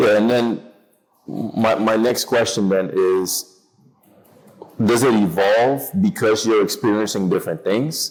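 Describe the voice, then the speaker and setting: In an American accent, a man talks at a fairly slow pace with long, frequent pauses. His medium pitch varies an ordinary amount, and his loudness stays very even. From outside the United States. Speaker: podcast co-host, interviewer. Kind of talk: casual podcast conversation.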